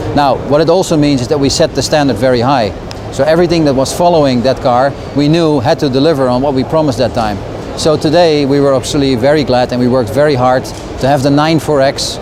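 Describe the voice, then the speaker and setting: Over noticeable background noise and audible room echo, a man speaks very fast at a fairly high pitch with very even loudness. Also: fairly even intonation. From Netherlands. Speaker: car company communications director. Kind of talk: interview. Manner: hesitant, many fillers.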